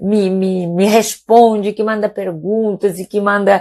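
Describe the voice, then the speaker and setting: A woman talks at a fairly slow pace in a medium pitch. The sound is dry and close, with no echo. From Spain, Palma de Mallorca (Balearic Islands). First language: Catalan and Spanish (speaking Portuguese). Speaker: doctor. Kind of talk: casual live stream talk. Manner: hesitant, many repetitions.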